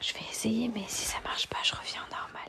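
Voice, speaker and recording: Amid noticeable background noise comes whispering at a fairly slow pace. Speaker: ASMR streamer. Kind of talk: reading aloud. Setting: live stream.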